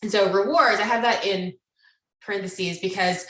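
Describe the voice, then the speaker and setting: With fairly even intonation, a woman speaks at a fairly quick pace amid audible room echo. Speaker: psychologist. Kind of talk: lecture. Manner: fast.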